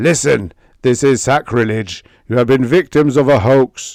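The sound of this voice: A man puts on a character voice at medium pitch, speaking at a moderate pace with ordinary pitch variation and very even loudness, in a dry, close sound with no echo.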